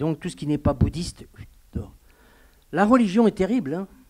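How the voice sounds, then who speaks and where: The recording is very clean, with a silent background. The voice has a dark, mellow tone and lively intonation. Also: man. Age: 70s. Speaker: pastor. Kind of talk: sermon. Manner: halting.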